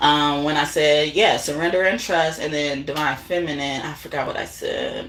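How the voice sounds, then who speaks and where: Female speech at a moderate tempo, noticeable background noise and audible room echo around it. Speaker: tarot reader. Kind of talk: casual chat. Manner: halting.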